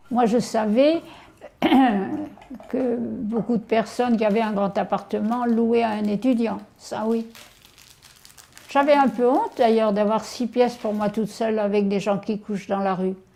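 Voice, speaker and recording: Amid noticeable background noise, a woman speaks fairly slowly with long, frequent pauses. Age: 80s+. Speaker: elderly widow hosting a student. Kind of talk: casual chat.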